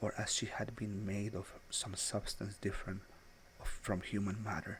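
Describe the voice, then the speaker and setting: At a moderate pace, the speaker sounds somewhat breathy, with monotone, flat intonation. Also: man, fairly low pitch for a man. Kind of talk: English-language literary narration. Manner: soft-spoken, relaxing.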